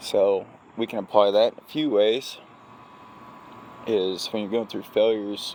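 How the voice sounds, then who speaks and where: A man's fairly low voice at a fairly slow pace, with long, frequent pauses. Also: fairly even intonation. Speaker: crane operator, vlogger. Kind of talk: casual vlog monologue.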